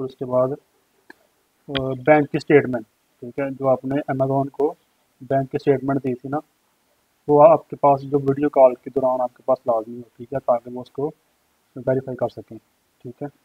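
A man speaks with little pitch movement and a slightly husky edge. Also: medium pitch for a man, moderate pace, dry, close sound with no echo.

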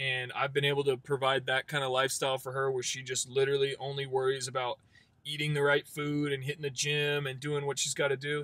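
Speaking very fast, a man with a fairly high pitch keeps a monotone, flat intonation. His tone is bright and sharp, and the sound is dry with no echo. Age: 20s. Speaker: door-to-door salesman. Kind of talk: casual interview testimony; casual talk, sales advice. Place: car. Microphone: phone near.

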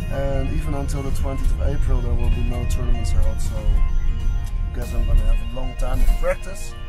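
A fairly quick pace over loud music in the background. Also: man. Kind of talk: casual vlog chat. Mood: disappointed but accepting. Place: car. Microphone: phone near.

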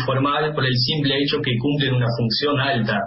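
A fairly high-pitched man with an Argentine accent and ordinary pitch variation, some audible room echo and light background noise around him. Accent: fluent Argentine-sounding Spanish. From Netherlands. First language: Dutch (speaking Spanish). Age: 20s. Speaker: football fan club organizer; interviewee. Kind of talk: interview. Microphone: video call.

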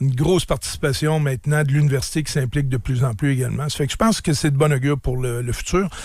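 At a very fast pace, a man talks in a fairly high, somewhat breathy voice with ordinary pitch variation. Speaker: businessman and sports team owner. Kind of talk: radio interview. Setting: radio studio.

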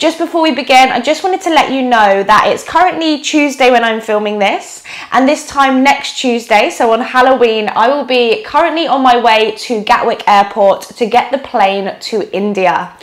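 Hardly pausing at all, a woman talks in a high pitch with lively intonation. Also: moderate pace. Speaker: yoga teacher. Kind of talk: casual vlog chat. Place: home room.

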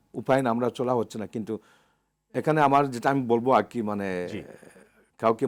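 An ordinary speaking voice from a man, medium-pitched with fairly even intonation, on a very clean recording with a silent background. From Bangladesh, Moulvibazar (Sylhet). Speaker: hotel banquet manager, expatriate. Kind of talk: TV interview. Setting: studio.

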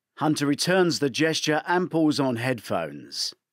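Recorded very cleanly against a silent background, a man with a fairly high pitch talks at a moderate pace with big pitch swings.

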